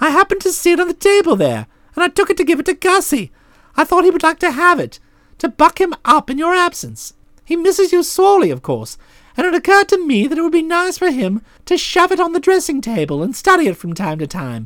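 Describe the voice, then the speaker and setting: A squeaky, extremely high-pitched voice at a very fast pace. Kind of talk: comic upper-class English raconteur. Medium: read story. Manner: chatty, slangy, breezy.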